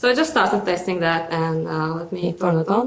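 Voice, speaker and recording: A woman speaks with a strong Russian accent. Her pitch varies in an ordinary way. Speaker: conference speaker, software developer. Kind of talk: conference talk with live demo. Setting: stage with audience. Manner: halting, many fillers and repetitions.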